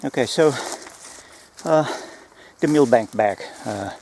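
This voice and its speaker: Ordinary pitch variation with a non-native accent. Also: man. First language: not English. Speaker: gear reviewer, former close protection operative. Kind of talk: product review video. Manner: halting, many fillers and restarts.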